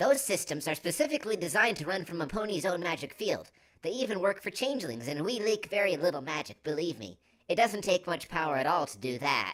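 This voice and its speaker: In a put-on character voice, a woman rattles along at a very fast pace with a fairly low pitch. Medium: read story. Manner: casual, relaxed.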